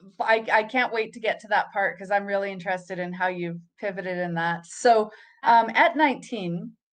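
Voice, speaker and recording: A woman with a plain, everyday voice speaks at medium pitch. She keeps a moderate pace with ordinary pitch variation. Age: 40s. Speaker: podcast host. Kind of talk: interview.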